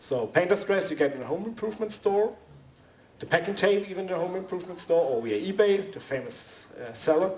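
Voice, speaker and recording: Noticeable background noise surrounds a man with a high pitch and lively intonation. His loudness swings a lot. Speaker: costume maker, convention panelist. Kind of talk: workshop presentation. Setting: convention panel with audience. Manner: halting.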